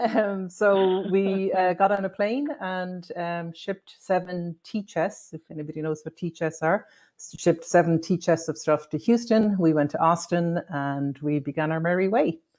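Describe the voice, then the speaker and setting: With an Irish accent, a woman speaks at a moderate pace in a fairly low pitch, using ordinary pitch variation and hardly any pauses. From Ireland. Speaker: tech worker. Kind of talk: casual chat.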